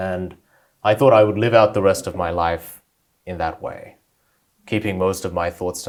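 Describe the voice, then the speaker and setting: An Australian accent marks this man's speech. The background is silent, and the recording very clean. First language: Korean. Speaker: debater and author. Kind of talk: interview.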